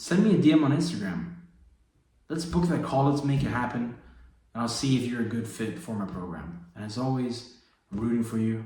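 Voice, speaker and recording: Through audible room echo, a man speaks at a fairly quick pace with lively intonation. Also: medium pitch for a man. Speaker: fitness and faith coach. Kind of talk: motivational vlog. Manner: low energy; casual, slangy.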